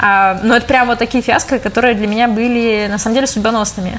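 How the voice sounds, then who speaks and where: Over noticeable background noise, a woman speaks in a fairly high pitch with fairly even intonation. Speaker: corporate manager. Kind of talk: interview.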